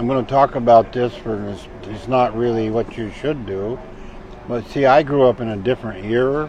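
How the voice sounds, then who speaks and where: A man's fairly even intonation comes through noticeable background noise. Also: medium pitch for a man, moderate pace. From Vermont. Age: 70s. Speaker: hunter. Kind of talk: casual storytelling interview.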